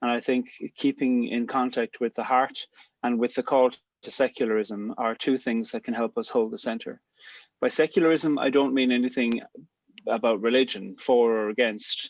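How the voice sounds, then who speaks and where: A man with an Irish accent, medium pitch, fairly even intonation and a moderate pace, in a dry, close recording with no echo and a quiet background. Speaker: poet and theologian, theme speaker. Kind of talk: talk to a gathering. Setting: video call.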